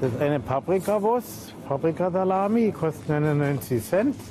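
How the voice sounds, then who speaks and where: A man's lively intonation carries through noticeable background noise. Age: 60s. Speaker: retired stove fitter. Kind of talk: documentary interview.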